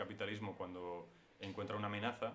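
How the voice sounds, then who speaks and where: In a room with audible echo, a man talks in a fairly low pitch with monotone, flat intonation. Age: 20s. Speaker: screenwriter. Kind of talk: interview.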